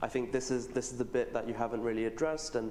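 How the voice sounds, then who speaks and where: With a British accent, a man speaks at a medium pitch amid audible room echo. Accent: British-sounding English. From Pakistan. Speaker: student leader. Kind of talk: panel discussion. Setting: stage with audience.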